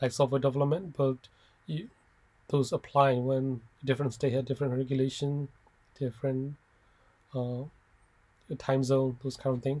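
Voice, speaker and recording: At a moderate pace, a man speaks at medium pitch in a monotone, flat way, with a dark, mellow, somewhat breathy tone and long, frequent pauses. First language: not English (English is third language). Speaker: software developer. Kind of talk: informal talk to students. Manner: halting with frequent fillers and restarts.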